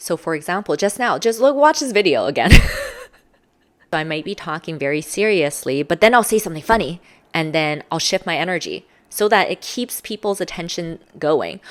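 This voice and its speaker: Her tone is animated, with lively intonation. The woman speaks at a fairly quick pace and a fairly low pitch. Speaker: social skills coach. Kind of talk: tutorial.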